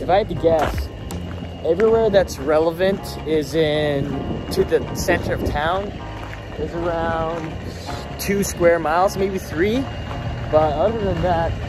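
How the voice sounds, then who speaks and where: A man speaks at a fairly slow pace with long, frequent pauses in a dry sound with no echo as clear music plays in the background. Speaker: travel vlogger. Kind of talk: casual vlog chat. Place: street. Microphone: phone near.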